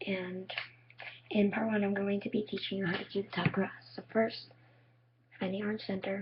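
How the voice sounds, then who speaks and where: Speaking at a moderate pace, a woman uses a flat, monotone intonation, sounds somewhat breathy, and leaves long, frequent pauses. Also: medium pitch for a woman. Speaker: cube tutorial maker. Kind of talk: tutorial.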